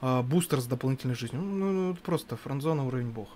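Someone talks at a very fast pace with ordinary pitch variation over light background noise. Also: man. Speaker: gaming commentator. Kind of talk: live commentary. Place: studio. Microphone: headset.

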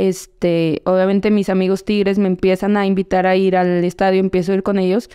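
A woman's dark, mellow voice in a flat monotone at a fairly quick pace, with very even loudness, hardly any pauses and a quiet background. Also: medium pitch for a woman. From central Mexico, State of Mexico. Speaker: professional footballer; podcast guest. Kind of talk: casual interview; interview answer. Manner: hesitant, many fillers and repetitions. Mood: relaxed, reflective. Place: studio. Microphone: studio mic.

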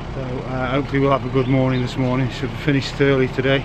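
A man speaks with noticeable background noise around him. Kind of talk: casual vlog chat. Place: street. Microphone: phone near.

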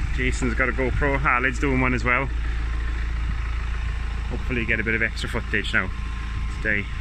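Speech comes at a fairly quick pace over noticeable background noise, with a dry sound and no echo. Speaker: road trip vlogger. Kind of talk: casual vlog chat. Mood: relaxed, admiring. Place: open country. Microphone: phone near.

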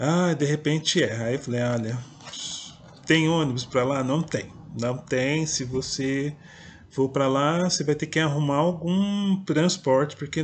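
Here a man talks with a São Paulo countryside accent and a fairly high pitch. His pitch varies in an ordinary way over light background noise. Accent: noticeable São Paulo countryside. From interior of São Paulo state, Brazil. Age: 50s. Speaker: poet and writer, video blogger; poet, video blogger. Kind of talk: personal storytelling monologue. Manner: hesitant, with fillers. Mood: calm, reflective. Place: home room. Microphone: webcam.

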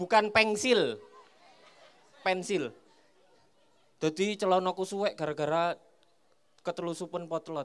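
Crowd noise fills the background as a man speaks in a playful tone. He moves at a fairly slow pace with long, frequent pauses. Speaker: stand-up comedian. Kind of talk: stand-up comedy set. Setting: stage with audience at a school. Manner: playful crowd banter, teasing audience members. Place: stage. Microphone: handheld.

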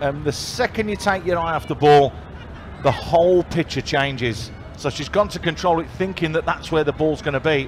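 At a fairly quick pace and with ordinary pitch variation, a man speaks over light background noise. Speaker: co-commentator, match analyst. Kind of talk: commentary.

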